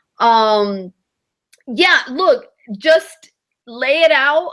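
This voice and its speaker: Lively intonation and a bright, sharp tone in a female voice. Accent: non-native. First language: not English. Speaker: vacation rental host and webinar coach. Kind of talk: webinar teaching. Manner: casual, many fillers.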